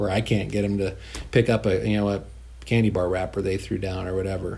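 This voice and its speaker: In a fairly low, dark, mellow and somewhat breathy voice, a man talks at a very fast pace with ordinary pitch variation and audible room echo. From rural northeastern California (Modoc County). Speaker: school superintendent. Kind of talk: interview. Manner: repeats words, halting.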